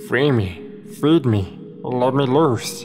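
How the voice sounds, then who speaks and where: A man does a put-on character voice while music plays clearly behind him. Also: medium pitch for a man. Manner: growling.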